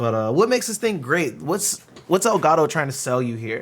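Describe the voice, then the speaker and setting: Loud and fairly quick, a man speaks with very wide pitch swings. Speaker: gaming streamer reviewing a microphone. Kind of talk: product review. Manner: casual, filler-heavy.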